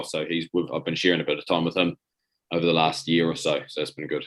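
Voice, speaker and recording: A man with a New Zealand accent and a very deep, low pitch. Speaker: rugby player and coach. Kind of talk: interview. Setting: video call. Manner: halting, many repetitions.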